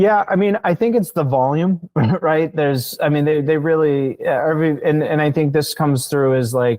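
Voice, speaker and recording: A man speaks at a fairly high pitch with ordinary pitch variation. His loudness stays very even and there are hardly any pauses. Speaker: marketing agency founder, podcast guest. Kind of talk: interview. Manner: fast.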